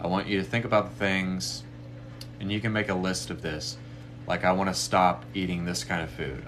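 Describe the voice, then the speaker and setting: Amid audible room echo, a man with a very deep, low pitch talks very fast in very wide pitch swings. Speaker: spiritual medium offering readings and meditations. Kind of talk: live stream talk leading a meditation. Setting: live stream.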